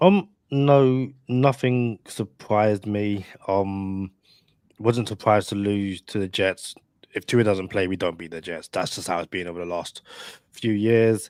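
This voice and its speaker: A man with a British accent speaks at a fairly low pitch and a fairly slow pace, with ordinary pitch variation. His loudness swings widely, and the sound is dry and close with no echo. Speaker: podcast co-host, sports fan guest. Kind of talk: casual chat.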